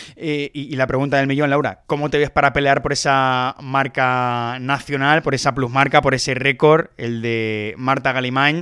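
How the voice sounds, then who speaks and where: A man with a medium pitch and a bright, sharp tone speaks at a fairly slow pace in a flat monotone with hardly any pauses, on a very clean recording with a silent background. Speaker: podcast host. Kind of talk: interview.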